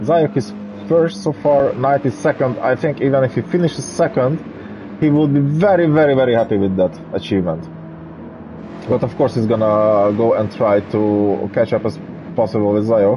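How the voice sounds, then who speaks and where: With lively intonation, a man speaks at a moderate pace in a medium pitch and very even loudness, against noticeable background noise. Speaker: sim racing commentator. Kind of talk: live commentary. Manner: animated; halting.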